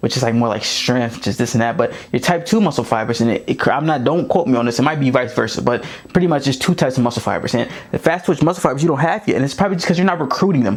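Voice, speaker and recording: Over noticeable background noise, a man talks at a very fast pace with hardly any pauses, his tone animated and his intonation lively. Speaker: football coach and running back. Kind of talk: tutorial.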